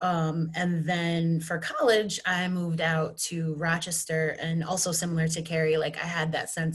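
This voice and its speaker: A woman with a Western New York accent speaks at a moderate pace with fairly even intonation and a fairly low pitch. The recording has audible room echo and noticeable background noise. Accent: flat Western New York. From Western New York, Buffalo and Batavia. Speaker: mental health therapist. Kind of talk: personal storytelling panel. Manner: casual, many fillers.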